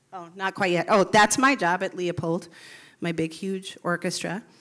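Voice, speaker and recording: A woman is speaking. Her pace is fairly slow. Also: very clean recording, silent background. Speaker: public school music teacher. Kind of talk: short stage talk.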